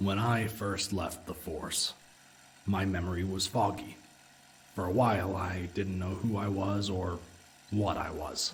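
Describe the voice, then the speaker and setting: A man puts on a character voice, pitched very deep and low, speaking at a fairly slow pace. His intonation stays monotone and flat over clear background noise. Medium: audio drama. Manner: dry, blunt.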